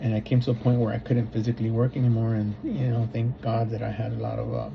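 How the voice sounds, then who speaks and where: Over noticeable background noise, a man talks at a fairly quick pace and medium pitch in a monotone, flat intonation. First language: Spanish. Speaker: substitute teacher and graduate student. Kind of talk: personal reflection for a course assignment. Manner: hesitant, many fillers and repeats.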